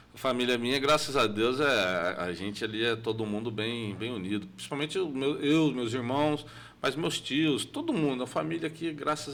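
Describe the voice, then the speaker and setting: Intonation is lively as a man speaks at medium pitch. His pace is moderate. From São Paulo state, Brazil. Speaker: entrepreneur, shop owner. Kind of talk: podcast interview. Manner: halting, many restarts.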